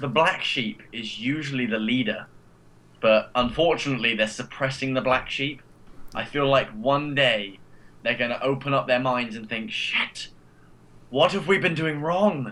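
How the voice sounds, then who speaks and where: Someone speaks with an English accent at a moderate pace and with ordinary pitch variation. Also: man, medium pitch for a man. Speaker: podcast panelist. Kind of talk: casual group chat.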